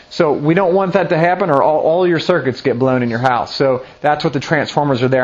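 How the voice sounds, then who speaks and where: Against noticeable background noise, a man with a fairly high pitch talks at a fairly quick pace in an animated tone. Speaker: pastor. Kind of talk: sermon.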